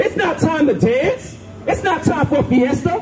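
Loud background noise behind a man at a moderate pace. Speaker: street preacher. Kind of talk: street preaching. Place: street. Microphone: handheld.

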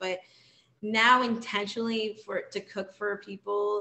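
An American accent from a woman. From South Florida, Jamaican family. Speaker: chef and author. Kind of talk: interview about her memoir. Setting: video call. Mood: warm, reflective. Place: kitchen. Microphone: video call.

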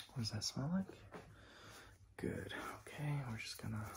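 A soft-spoken man talks at a moderate pace, his voice somewhat breathy. Noticeable background noise runs behind him. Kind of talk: role-play medical exam, soft-spoken. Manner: soft, hushed ASMR voice. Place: home room. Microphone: phone near.

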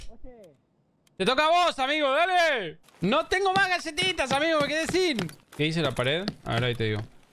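A man with an Argentine accent at a moderate pace, light background noise behind him. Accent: Argentine Spanish (Rioplatense). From Argentina. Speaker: gaming YouTuber. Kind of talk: casual gameplay commentary. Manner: animated. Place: home room. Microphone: studio mic.

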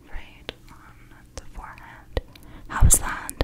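A soft-spoken woman talks over loud background noise. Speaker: ASMR roleplay host. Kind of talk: soft-spoken ASMR roleplay. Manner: soft, intimate near-mic speech. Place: home room. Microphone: studio mic.

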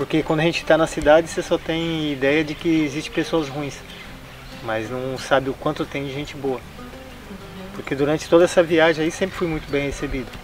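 A man talks at a fairly quick pace with fairly even intonation. The sound is dry with no echo, and clear music plays in the background. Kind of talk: interview answer. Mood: warm, cheerful. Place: garden.

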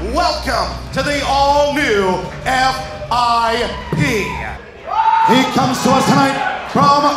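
At a very slow pace, a man speaks amid loud background noise and audible room echo. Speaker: ring announcer, commentator, host. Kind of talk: wrestling ring announcement. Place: stage. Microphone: handheld.

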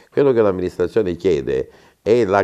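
A man's dark, mellow voice comes through over a quiet background. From Calabria, Italy. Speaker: mayoral candidate, former mayor; candidate. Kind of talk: interview; interview answer. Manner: halting. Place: studio. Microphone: lapel.

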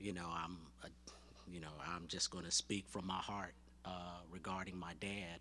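Over light background noise, a man with a very deep, low pitch and vocal fry speaks in a bright, sharp tone with fairly even intonation at a moderate pace, leaving long, frequent pauses. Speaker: son of the deceased. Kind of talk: eulogy. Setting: church. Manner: halting. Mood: warm, earnest, grieving. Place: church. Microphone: podium.

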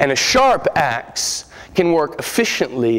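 A man speaks with very wide swings in pitch. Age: 30s. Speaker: preacher. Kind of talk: sermon. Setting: church. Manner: animated. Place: church. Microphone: podium.

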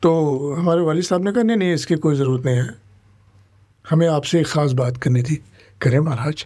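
At a moderate pace with long, frequent pauses, a man speaks in a fairly high pitch with a dark, mellow tone and ordinary pitch variation against a quiet background. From India. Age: 70s. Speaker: political migrant, former election candidate; election candidate. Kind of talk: interview. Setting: studio. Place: studio. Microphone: studio mic.

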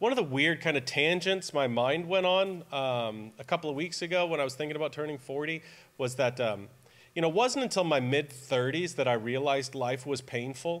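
Ordinary pitch variation colors a man's speech at a moderate pace. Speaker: preacher. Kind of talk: sermon. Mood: relaxed, joking. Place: church. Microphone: podium.

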